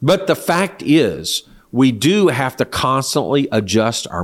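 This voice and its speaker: On a very clean recording with a silent background, a man's medium-pitched voice shows vocal fry and very wide pitch swings. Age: 60s. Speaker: church leader. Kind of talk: interview.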